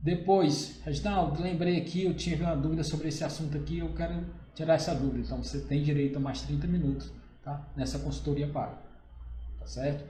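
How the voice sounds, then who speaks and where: A man speaks at a fairly quick pace with audible room echo and noticeable background noise. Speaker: accountant. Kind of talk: live stream Q&A, informal presentation. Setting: live stream.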